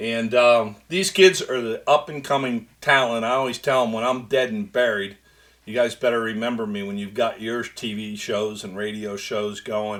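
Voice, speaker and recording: In a very clean recording with a silent background, a man with an ordinary speaking voice talks at a moderate pace and a medium pitch, with ordinary pitch variation and big swings in loudness. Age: 60s. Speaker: sports radio host. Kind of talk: sports talk radio monologue.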